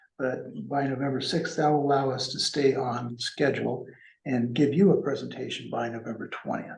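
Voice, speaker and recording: A man speaks at a moderate pace and medium pitch, with ordinary pitch variation. Audible room echo surrounds his voice. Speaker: financial consultant. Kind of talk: business presentation. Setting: public meeting in city hall, also on Zoom. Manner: halting.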